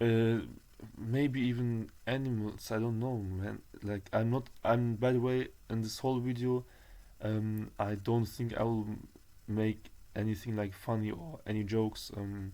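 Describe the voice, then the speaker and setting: A man's medium-pitched voice, dark and mellow in tone, with fairly even intonation. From Germany, Turkish roots. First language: German. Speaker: vlogger. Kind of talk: personal testimony vlog. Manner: halting, many fillers and restarts.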